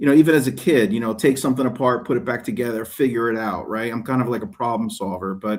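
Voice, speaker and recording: With a slight New Jersey accent, a man at a medium pitch talks at a very fast pace with ordinary pitch variation and hardly any pauses. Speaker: detailing YouTuber and soap maker. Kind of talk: casual interview chat. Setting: video call from a hotel room.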